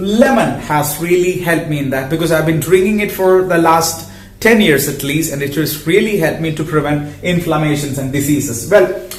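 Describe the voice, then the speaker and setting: A man with a non-native accent and a fairly high pitch speaks at a moderate pace with hardly any pauses and ordinary pitch variation, over noticeable background noise and audible room echo. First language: not English. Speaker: health educator and social worker. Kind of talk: educational talk to camera. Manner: halting.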